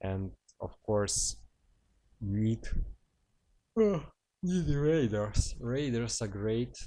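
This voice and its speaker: A man with a non-native accent speaks at a very slow pace with long, frequent pauses, his medium-pitched voice dark and mellow, with lively intonation. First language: not English. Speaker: gaming commentator. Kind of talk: gameplay commentary. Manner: casual, hesitant with fillers.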